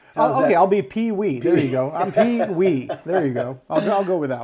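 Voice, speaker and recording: The speaker's pitch swings very widely at a fairly quick pace amid noticeable background noise. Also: man, high pitch for a man. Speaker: podcast co-host. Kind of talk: podcast interview, casual talk.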